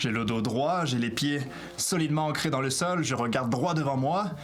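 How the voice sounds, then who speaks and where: Fairly high male voice at a moderate pace, with audible room echo and noticeable background noise. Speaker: YouTube tutorial host. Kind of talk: tutorial. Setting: alone facing a camera. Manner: loud, articulated, dynamic.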